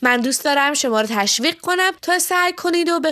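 The pitch swings very widely at a fairly quick pace. The background is quiet. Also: woman. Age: 30s. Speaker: sex educator. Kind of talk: scripted narration.

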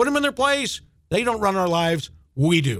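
The speech moves fairly quickly. Its pitch rises and falls very widely. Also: man. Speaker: radio co-host and announcer. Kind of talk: radio announcing and promo. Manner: energetic, pumped up.

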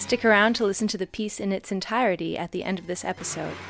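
With a Canadian accent, a woman uses an ordinary speaking voice at medium pitch and a moderate pace, the sound dry and close with no echo on a very clean recording with a silent background. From Canada. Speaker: vocalist and podcast co-host. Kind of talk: scripted narration; casual interview.

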